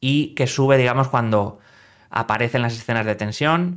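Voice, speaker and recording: Against a quiet background, a man speaks at a moderate pace with a medium pitch and ordinary pitch variation. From northern Spain. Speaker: film critic YouTuber. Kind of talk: film review monologue. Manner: hesitant, many fillers. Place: home room.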